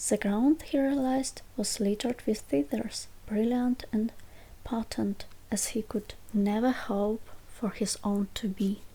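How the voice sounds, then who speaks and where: A soft-spoken woman whispers at a fairly slow pace, her gentle tone somewhat breathy. The recording is very clean with a silent background. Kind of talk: ASMR bedtime story reading. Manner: soft-spoken, whispering, gentle.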